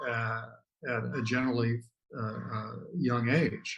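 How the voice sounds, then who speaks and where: His voice sits at a medium pitch. The man sounds somewhat breathy. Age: 70s. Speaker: author and blogger. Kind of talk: interview answer.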